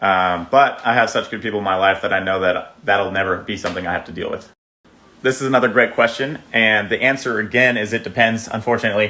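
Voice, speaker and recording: A man talks at a very fast pace in a fairly low voice. His intonation stays fairly even. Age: 20s. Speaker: fitness influencer. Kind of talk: casual Q&A. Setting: outdoors.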